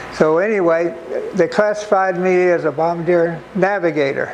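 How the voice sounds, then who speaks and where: Amid noticeable background noise, a man with a high-pitched voice speaks at a very slow pace. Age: 90s. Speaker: war veteran. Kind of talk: talk to an audience. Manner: halting.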